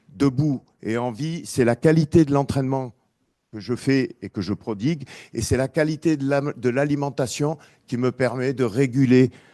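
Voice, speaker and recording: At a fairly slow pace, a dark, mellow voice with ordinary pitch variation comes through in a dry, close sound with no echo. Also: man. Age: 60s. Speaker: boxing coach. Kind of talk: testimony. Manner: casual, hesitant.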